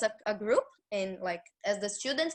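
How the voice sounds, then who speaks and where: A woman speaks with a Brazilian accent. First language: Portuguese. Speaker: former foreign exchange student. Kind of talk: interview answer.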